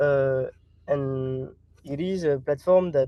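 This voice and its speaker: A man's fairly high voice at a very slow pace, fairly even intonation and a non-native accent. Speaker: startup founder asking questions. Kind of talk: casual Q&A. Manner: halting, many fillers.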